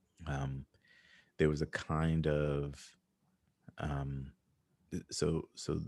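His voice has a very deep, low pitch. The man's tone is dark and mellow. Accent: American. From United States, Haitian family. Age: 40s. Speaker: performance artist and librettist. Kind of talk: interview. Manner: halting, many fillers.

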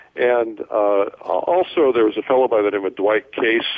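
A man with an American accent talks at a fairly low pitch. Noticeable background noise runs behind him. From US Midwest, Fort Wayne, Indiana. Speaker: entrepreneur and publisher, former radio DJ. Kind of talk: interview.

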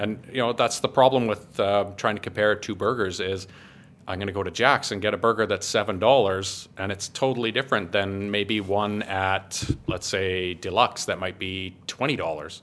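A man talks at a moderate pace in an unremarkable speaking voice. His pitch is fairly low and his intonation fairly even. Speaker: food blogger and gas fitter. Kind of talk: casual interview chat.

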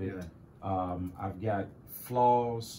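The voice has a dark, mellow tone, is somewhat breathy, moves through ordinary pitch variation, and carries audible room echo. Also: man. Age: 30s. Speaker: pastor. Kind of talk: casual interview.

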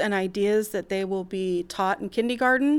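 On a very clean recording with a silent background, a woman with an ordinary speaking voice talks at a fairly high pitch with ordinary pitch variation. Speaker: kindergarten teacher. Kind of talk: interview answers.

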